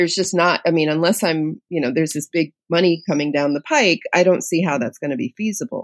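In a normal speaking voice, a woman with an American accent and a fairly low pitch talks with lively intonation and hardly any pauses, the sound dry and close with no echo. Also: fairly quick pace. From New York City, Lower East Side. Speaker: podcast host and journalist. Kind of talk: interview conversation.

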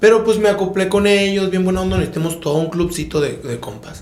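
Noticeable background noise and audible room echo surround a man speaking at a high pitch with ordinary pitch variation. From Sonora, Mexico (Empalme; school in Tijuana). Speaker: podcast host. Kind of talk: casual chat.

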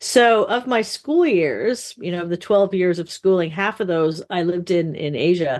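Here a woman talks at a moderate pace and medium pitch with ordinary pitch variation. She has an ordinary speaking voice. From mostly western US, moved often. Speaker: literature professor. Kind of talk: interview.

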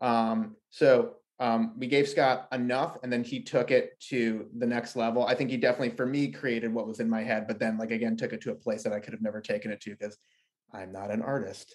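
A man's ordinary speaking voice, medium in pitch, at a fairly quick pace with fairly even intonation. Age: 30s. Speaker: comic book writer. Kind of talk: casual interview.

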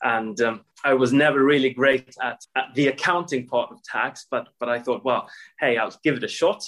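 A man with a Swedish accent speaks at a medium pitch. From Sweden. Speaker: corporate tax executive. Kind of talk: interview.

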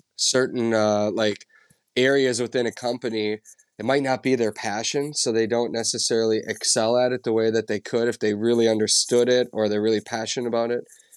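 On a very clean recording with a silent background and a dry, close sound with no echo, a man with an Upper Midwest accent speaks at a moderate pace and medium pitch in monotone, flat intonation. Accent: Upper Midwest (Minnesota). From central Minnesota. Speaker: outdoor TV show host and producer. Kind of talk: podcast interview.

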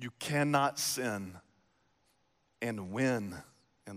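In a very clean recording with a silent background, a man with a Texas accent talks at a very slow pace. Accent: Southern US (Texas). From East Texas. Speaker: pastor. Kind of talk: sermon. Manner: animated.

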